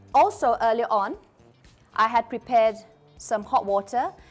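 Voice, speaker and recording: Over music in the background, a woman speaks with a fairly high pitch. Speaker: cooking demo host. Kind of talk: cooking demonstration livestream.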